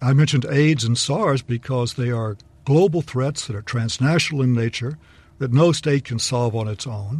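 In a Texan accent, a somewhat breathy man talks at a moderate pace with a medium pitch and ordinary pitch variation. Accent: Texan American. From Texas. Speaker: law professor. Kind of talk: panel discussion. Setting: studio.

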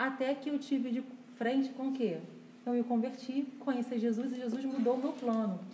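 Over noticeable background noise and audible room echo, a woman talks at a fairly quick pace in a high pitch, with monotone, flat intonation and very even loudness. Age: 40s. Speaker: church couples leader. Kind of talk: casual chat.

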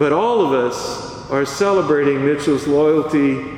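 A man speaks at a very slow pace with a fairly high pitch. Noticeable background noise and audible room echo are present. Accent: American. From US South, south Louisiana (Acadiana). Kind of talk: homily. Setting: church.

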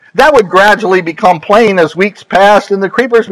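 The clip features a natural reading voice.

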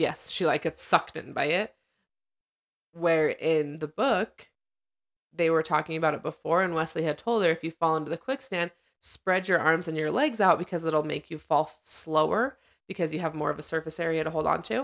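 A woman with a fairly low pitch speaks quickly in a normal speaking voice, her pitch varying in an ordinary way. Her loudness swings widely on a very clean recording with a silent background. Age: 30s. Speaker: podcast co-host. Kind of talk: casual chat.

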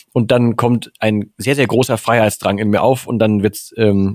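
A man's monotone, flat delivery at a moderate pace. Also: dry, close sound with no echo. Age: 40s. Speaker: podcast host. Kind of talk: casual chat.

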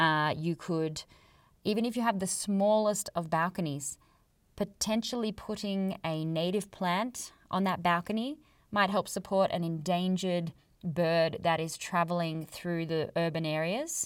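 A woman's fairly low voice in an Australian accent, on a very clean recording with a silent background. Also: ordinary pitch variation, fairly slow pace. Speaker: podcast host, conservation biologist, yoga teacher. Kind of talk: solo educational podcast monologue.

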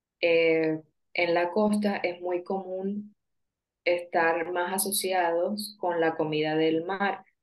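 A woman's fairly low voice at a very slow pace, monotone and flat, with very even loudness. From Colombian Caribbean coast (Sincelejo). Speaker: Colombian guest talking about her country. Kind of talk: interview.

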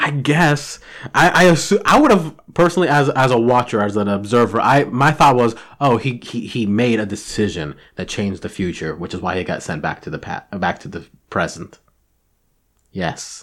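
A man talks at a medium pitch in an animated tone, his pitch swinging very widely and his loudness rising and falling sharply. The recording is very clean, with a silent background. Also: moderate pace. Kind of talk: casual chat.

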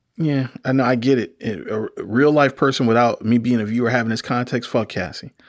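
On a very clean recording with a silent background, a man with a normal speaking voice speaks at a fairly quick pace with hardly any pauses, medium pitch, and fairly even intonation. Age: 40s. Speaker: podcast host and TV critic. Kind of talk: casual chat.

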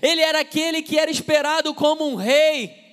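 A man speaks at an extremely high pitch with a bright, sharp tone. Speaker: pastor. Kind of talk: sermon. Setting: church.

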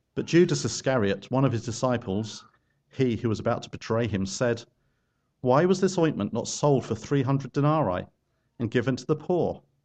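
A plain, everyday voice speaks at a moderate pace. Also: man, medium pitch for a man. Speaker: scripture reader. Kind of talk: reading aloud. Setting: church.

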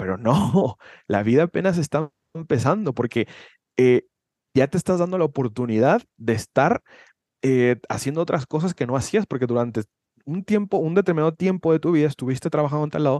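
Heard dry and close with no echo, the speaker uses a normal speaking voice. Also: man. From Mexico, Guadalajara, Jalisco. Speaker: personal development coach. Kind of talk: casual chat.

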